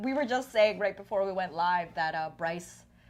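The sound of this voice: Her intonation lively and her pitch fairly low, a woman speaks at a moderate pace.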